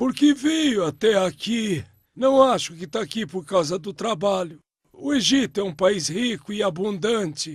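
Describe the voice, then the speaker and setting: A man's cartoonish character voice, high in pitch, with a gentle tone, lively intonation and a moderate pace against a quiet background. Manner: gentle, dignified.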